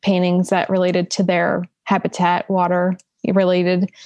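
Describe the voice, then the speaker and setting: Speaking in a South Jersey accent, a woman with a medium pitch delivers her words in a flat monotone at a fairly slow pace, the sound dry and close with no echo against a quiet background. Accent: South Jersey American. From US, southern New Jersey (Salem County). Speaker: painter. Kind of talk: casual chat.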